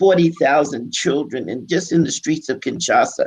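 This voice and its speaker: At a moderate pace, a man talks in a fairly high pitch with vocal fry and ordinary pitch variation. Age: 70s. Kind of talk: online panel discussion.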